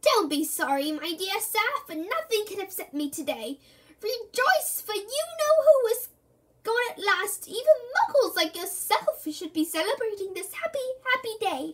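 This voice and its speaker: This put-on character voice is squeaky, with very wide pitch swings, delivered at a moderate pace. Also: woman, extremely high pitch for a woman. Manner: gleeful.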